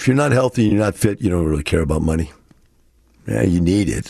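A man's very deep, low voice, dark and mellow and somewhat breathy, with very wide pitch swings. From US Texas. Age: 60s. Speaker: radio host. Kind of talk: solo radio talk show monologue.

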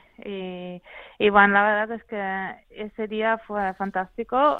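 A woman speaks with a Dutch accent. Her pace is fairly slow and her pitch varies in an ordinary way. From Netherlands. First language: Dutch (speaking Spanish). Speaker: mountain runner, world champion. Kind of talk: interview. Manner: halting.

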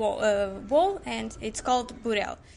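At a fairly slow pace, a woman talks in a Portuguese accent. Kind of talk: casual interview. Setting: retail outlet. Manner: halting.

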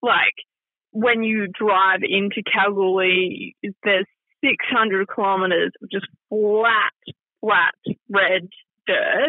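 In an Australian accent, a woman with a medium-pitched voice speaks at a very slow pace. Her intonation stays fairly even, broken by long, frequent pauses. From Perth, Western Australia. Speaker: radio presenter. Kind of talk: casual interview chat.

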